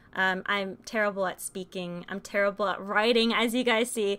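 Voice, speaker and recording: A woman's fairly high voice at a moderate pace, music in the background. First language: Spanish. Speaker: game streamer. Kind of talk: live stream monologue. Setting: live stream. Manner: halting.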